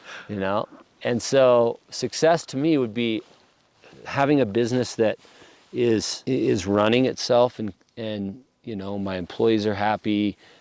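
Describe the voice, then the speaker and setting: A man with an American accent speaks at a fairly slow pace and medium pitch, with ordinary pitch variation. There are long, frequent pauses, and the sound is dry and close with no echo. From Idaho. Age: 40s. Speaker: locksmith, business owner. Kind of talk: podcast interview.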